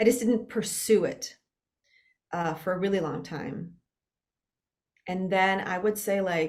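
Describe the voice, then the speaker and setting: A woman with a Spanish accent speaks at a fairly slow pace, leaving long, frequent pauses. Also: medium pitch for a woman, ordinary pitch variation. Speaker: actor. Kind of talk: casual interview conversation.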